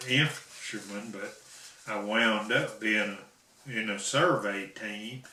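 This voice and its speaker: A man at a very slow pace and fairly low pitch, amid noticeable background noise. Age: old. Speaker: Korean War veteran. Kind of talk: interview answer.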